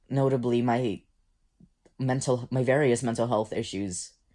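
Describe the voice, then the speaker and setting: The shaky voice moves at a fairly slow pace on a very clean recording with a silent background. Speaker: musician. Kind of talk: casual talk to camera.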